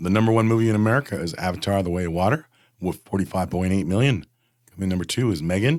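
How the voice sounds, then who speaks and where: A man talks at a very fast pace in a fairly low pitch, with lively intonation and big swings in loudness. The recording is very clean with a silent background. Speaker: podcast co-host. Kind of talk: reading box office results.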